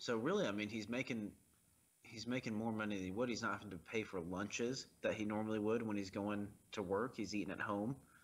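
A normal speaking voice from a man, fairly low in pitch, fairly quick in pace, with fairly even intonation. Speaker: podcast co-host. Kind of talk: casual movie commentary banter.

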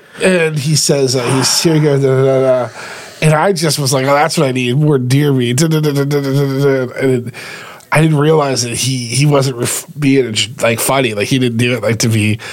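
Through audible room echo and noticeable background noise, a man speaks at a medium pitch. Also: moderate pace. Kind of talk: casual chat. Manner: animated.

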